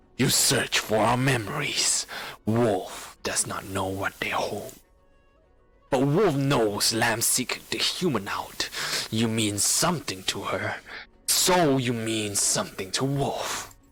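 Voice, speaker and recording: Over faint background music, a man growls out a menacing, put-on character voice at medium pitch and a fairly slow pace. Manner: menacing, ominous.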